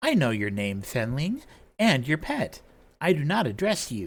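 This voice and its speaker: A man puts on a raspy character voice at a fairly high pitch. He keeps a moderate pace on a very clean recording with a silent background. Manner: imperious, dismissive.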